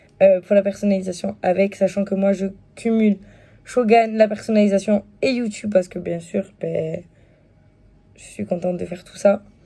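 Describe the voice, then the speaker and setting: This woman talks at a moderate pace with long, frequent pauses. Her medium pitch stays in a monotone, flat intonation. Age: 20s. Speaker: YouTuber and stay-at-home mom selling wellness products. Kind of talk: casual vlog, product presentation. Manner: hesitant, many fillers.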